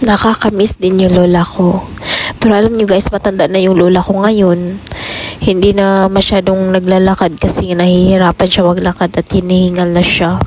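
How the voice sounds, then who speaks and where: A woman at medium pitch with flat, monotone intonation, over noticeable background noise. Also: moderate pace. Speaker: vlogger. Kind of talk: casual vlog talk. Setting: doing laundry at home.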